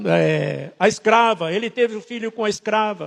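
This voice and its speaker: A man with a high pitch speaks at a very slow pace. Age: 70s. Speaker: guest pastor. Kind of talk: sermon.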